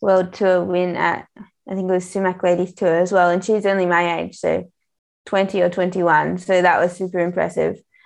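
Against a quiet background, a woman speaks at a medium pitch with an Australian accent. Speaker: professional cyclist. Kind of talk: casual interview.

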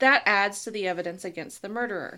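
A woman's bright, sharp tone in a very clean recording against a silent background. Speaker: podcast co-host. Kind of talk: casual chat about true crime.

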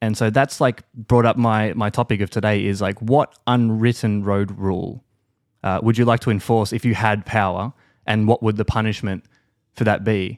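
A man with a fairly low pitch and a plain, everyday voice speaks at a moderate pace, the sound dry and close with no echo and the recording very clean over a silent background. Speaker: podcast host. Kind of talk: casual chat. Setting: hotel room.

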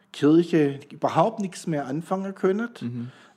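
High in pitch for a man, with a dark, mellow tone and ordinary pitch variation, this man is heard on a very clean recording with a silent background. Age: 60s. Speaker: pastor. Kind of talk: casual chat.

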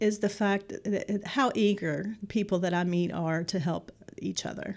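In an American accent, a woman speaks at a fairly slow pace with a medium pitch. Hers is an ordinary speaking voice, captured in a very clean recording with a silent background. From West Virginia, Kanawha Valley. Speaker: nonprofit executive director. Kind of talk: interview.

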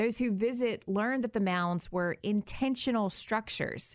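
A woman with an unremarkable speaking voice, fairly high-pitched and lively in intonation, at a fairly slow pace. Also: very clean recording, silent background. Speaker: podcast host. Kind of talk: true-crime narration. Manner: measured, steady storytelling; clear, straightforward, even-paced.

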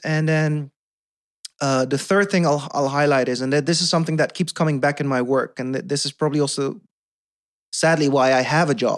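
At a moderate pace, a man with a Dutch accent speaks at a fairly high pitch, his intonation fairly even. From Netherlands. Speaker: podcast guest. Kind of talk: casual chat. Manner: halting.

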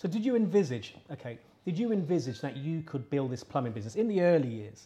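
The voice has a dark, mellow tone, somewhat breathy, delivered at a fairly quick pace with lively intonation. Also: man. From London. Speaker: podcast host. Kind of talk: interview. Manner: halting, repeats words.

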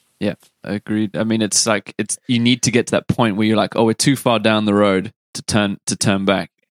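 Flat, monotone delivery with a dry, close sound and no echo. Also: man, fairly low pitch for a man, moderate pace. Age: 30s. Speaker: podcast host. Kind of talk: casual interview chat.

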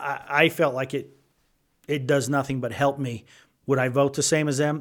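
A man with an ordinary speaking voice talks at a moderate pace and a fairly high pitch. The recording is very clean, with a silent background. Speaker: legislator. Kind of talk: roundtable discussion.

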